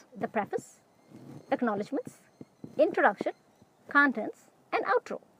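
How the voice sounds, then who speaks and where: A woman talks with noticeable background noise in the recording. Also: dry, close sound with no echo. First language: not English. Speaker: web series creator. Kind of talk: scripted monologue.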